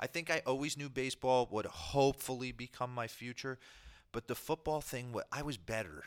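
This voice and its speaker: A man with a New Jersey accent, fairly quick pace and ordinary pitch variation. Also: medium pitch for a man, dry, close sound with no echo, very clean recording, silent background. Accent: New Jersey American. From US Northeast, New Jersey. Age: 40s. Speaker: former professional baseball player. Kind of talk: interview. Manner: halting, with frequent repetitions.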